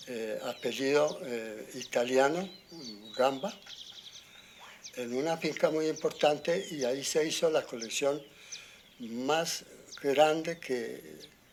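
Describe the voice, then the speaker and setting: Against noticeable background noise, a fairly high-pitched man speaks at a very slow pace with long, frequent pauses and ordinary pitch variation. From Colombia, rural Boyacá (Arcabuco). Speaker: farmer. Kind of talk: interview. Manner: halting.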